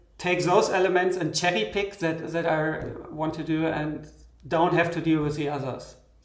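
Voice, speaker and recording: Over audible room echo, a man with a high pitch talks at a fairly slow pace with fairly even intonation. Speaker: software synth developer. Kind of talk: live stream interview. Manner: halting. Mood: relaxed, reflective. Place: studio.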